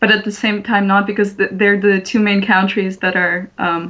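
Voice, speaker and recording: With a slight Russian accent, a woman speaks at a medium pitch. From Russia, Moscow. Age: young. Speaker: artist. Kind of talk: casual chat. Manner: halting.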